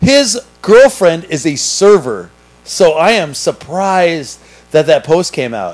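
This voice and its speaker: A man with a high pitch and very wide pitch swings at a very slow pace, music in the background. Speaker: podcast host and restaurant server. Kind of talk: casual chat.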